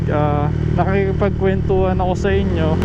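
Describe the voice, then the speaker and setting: A man keeps a moderate pace while noticeable background noise runs behind him. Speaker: motorcycle vlogger. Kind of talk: casual vlog talk.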